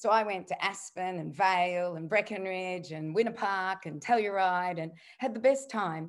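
In an Australian accent, a woman speaks at medium pitch with ordinary pitch variation. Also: quiet background. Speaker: nutritionist and author. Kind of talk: interview conversation.

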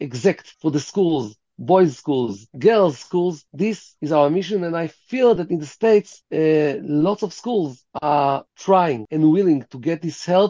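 At a fairly slow pace, a man with an Israeli accent speaks in a fairly high pitch with lively intonation. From Israel, Tel Aviv. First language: Hebrew. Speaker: rabbi. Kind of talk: interview.

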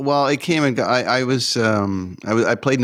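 A man with a Canadian accent speaks in a plain, everyday voice at a fairly slow pace, with ordinary pitch variation. The recording is very clean, with a silent background. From Canada. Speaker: concert tour manager. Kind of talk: interview.

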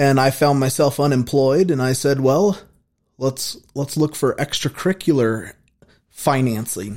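In an ordinary speaking voice, a man with an American accent talks at a fairly slow pace, with medium pitch and ordinary pitch variation. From Wyoming (Casper), US. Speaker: jail chaplain. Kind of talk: testimony. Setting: studio.

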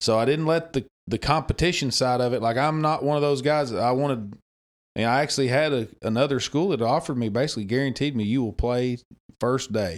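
A man with an Arkansas accent, medium pitch and ordinary pitch variation, fairly quick pace and very even loudness, on a very clean recording with a silent background. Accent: Southern US (Arkansas). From Arkansas, US South. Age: 30s. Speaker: former high school coach. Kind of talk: casual chat.

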